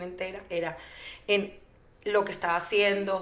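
A woman speaks at a moderate pace in a monotone, flat intonation, with audible room echo around her. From Venezuela. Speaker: mother and fertility foundation founder. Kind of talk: interview. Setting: studio.

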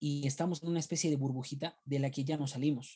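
This man's voice is somewhat breathy, with a dark, mellow tone. It sits at a fairly high pitch. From Peru. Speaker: theologian. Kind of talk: casual chat. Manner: repetitive stammering.

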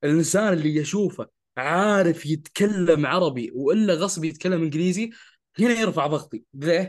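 A man talks at a moderate pace with a high pitch and ordinary pitch variation. The background is quiet. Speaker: podcast co-host who stutters. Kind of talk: casual conversational podcast chat.

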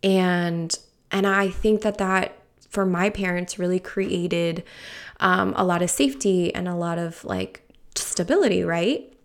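In a very clean recording with a silent background, a woman with an American accent and a plain, everyday voice speaks at a fairly slow pace, fairly low in pitch, with fairly even intonation. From Peru, raised in the US from age five. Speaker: podcast host on personal finance. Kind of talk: casual solo podcast monologue. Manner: chatty, many fillers and laughs.

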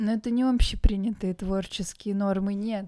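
At a moderate pace, a woman speaks in a medium pitch with fairly even intonation and a dark, mellow tone. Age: 20s. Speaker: podcast co-host. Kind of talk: casual chat; reading aloud.

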